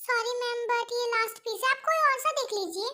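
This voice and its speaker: Doing a put-on character voice, a woman talks at a fairly quick pace with an extremely high, squeaky pitch and ordinary pitch variation. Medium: fan dub.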